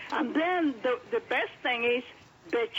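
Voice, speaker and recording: A high-pitched woman with lively intonation at a moderate pace amid noticeable background noise. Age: 70s. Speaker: caller. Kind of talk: customer testimonial. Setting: phone call. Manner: halting.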